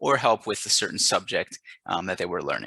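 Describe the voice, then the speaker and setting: A man with an American accent speaks very fast in a bright, sharp tone. The sound is dry and close with no echo, over a quiet background. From United States. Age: 20s. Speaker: English teacher. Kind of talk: self-introduction video. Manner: hesitant with many fillers.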